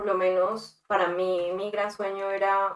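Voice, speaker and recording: Very slow speech from a woman, her pitch in the medium range. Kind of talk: interview.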